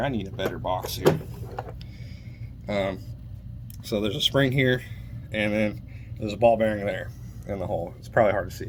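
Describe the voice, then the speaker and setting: Over noticeable background noise, a man speaks at a fairly low pitch with ordinary pitch variation. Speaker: car mechanic YouTuber. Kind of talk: casual tutorial. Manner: fast.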